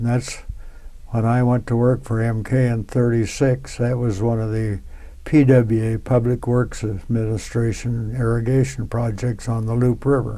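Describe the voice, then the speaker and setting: A man with a US Midwestern accent talks at a moderate pace in a medium pitch, with a dark, mellow tone and monotone, flat intonation. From Nebraska, US Midwest. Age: 90s. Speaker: World War II civilian worker veteran. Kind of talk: oral history interview. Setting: museum.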